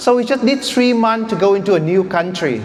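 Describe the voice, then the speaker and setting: Over noticeable background noise, a man speaks with a Vietnamese accent. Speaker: startup founder. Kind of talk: pitch presentation.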